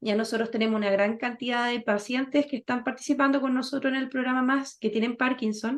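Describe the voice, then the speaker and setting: Fairly quick and with hardly any pauses, a woman speaks at a high pitch in a monotone, flat intonation. The background is quiet. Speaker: physiotherapist running a senior health workshop. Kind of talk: online health workshop talk.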